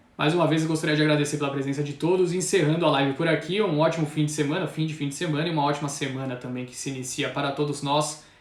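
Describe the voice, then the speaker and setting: With noticeable background noise and audible room echo, a man talks very fast in a fairly high, monotone, flat voice with hardly any pauses. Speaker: stock market commentator. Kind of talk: live stream market commentary. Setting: live stream.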